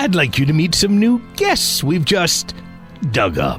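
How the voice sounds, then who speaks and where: With clear music in the background, a man performs a put-on character voice. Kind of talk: horror radio drama host introduction. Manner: theatrical, darkly jokey.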